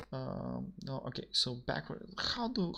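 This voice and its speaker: A man is speaking. He has a Macedonian accent. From North Macedonia. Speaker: programmer streaming a coding session. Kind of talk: live stream coding chat. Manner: halting, many fillers and repetitions.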